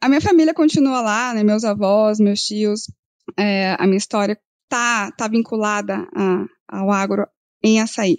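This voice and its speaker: At a fairly slow pace, a woman with an ordinary speaking voice and fairly high pitch shows ordinary pitch variation in a very clean, dry, close recording with no echo and a silent background. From northern Paraná, Brazil. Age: 30s. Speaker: agribusiness credit analyst, economist. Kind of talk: podcast interview.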